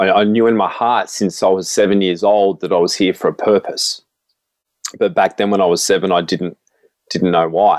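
Someone with an Australian accent speaks at very even loudness. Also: man, moderate pace. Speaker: motivational speaker. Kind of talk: testimony.

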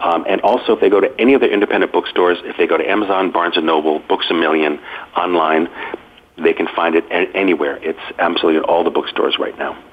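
A very fast man with an American accent amid noticeable background noise. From Massachusetts, US. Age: 50s. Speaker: author and food writer. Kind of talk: radio interview.

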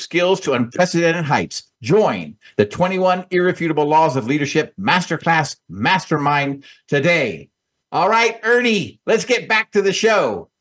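A man's high, lively voice at a moderate pace and very even loudness, against a quiet background. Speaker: radio host. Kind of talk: radio talk show.

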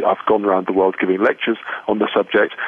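Over noticeable background noise, a man rattles along at a very fast pace with a fairly low pitch and monotone, flat intonation. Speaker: professor and terrorism expert. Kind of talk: interview answers, explanatory. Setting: phone call from Belfast. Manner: measured, formal.

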